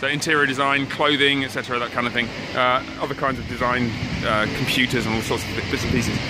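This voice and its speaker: The pace is fairly quick. Music plays in the background. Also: man, dry sound with no echo. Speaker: tour guide filming. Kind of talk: casual vlog tour commentary. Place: street. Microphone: phone near.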